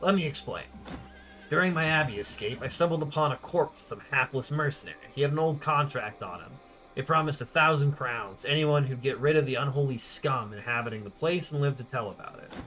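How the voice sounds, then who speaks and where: A man puts on a gravelly character voice, fairly high-pitched and fairly quick, with big swings in loudness and clear music playing behind him. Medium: game stream. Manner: matter-of-fact, terse.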